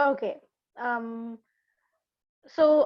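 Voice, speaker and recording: A woman with a non-native accent speaks at a high pitch with fairly even intonation. The background is quiet. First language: not English. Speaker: workshop attendee asking a question. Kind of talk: question in Q&A. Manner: halting.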